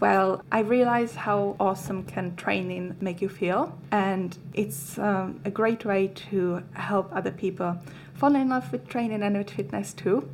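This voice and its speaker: Speaking with a Czech accent, a woman talks at a fairly slow pace and medium pitch with lively intonation and hardly any pauses. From Czech Republic. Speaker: fitness coach. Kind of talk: casual chat.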